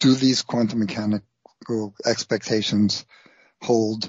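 An ordinary speaking voice at a fairly slow pace. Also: man. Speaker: science writer. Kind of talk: interview.

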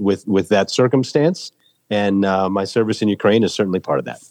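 Here is a man with an American accent and a fairly low pitch. He has an unremarkable speaking voice. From US Midwest, rural Minnesota. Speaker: war volunteer and military veteran. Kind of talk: interview.

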